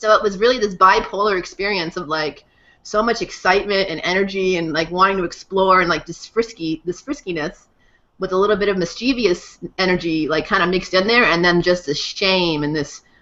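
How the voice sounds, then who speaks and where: In a normal speaking voice, a woman talks with an American accent at a fairly quick pace. Her pitch is medium, with ordinary variation. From Massachusetts. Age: 30s. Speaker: guest speaker on integral theory. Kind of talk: personal testimony.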